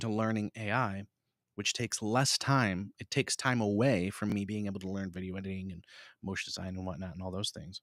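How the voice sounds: With a dry, close sound and no echo, a man speaks at a moderate pace, his fairly low pitch carrying a fairly bright tone and fairly even intonation.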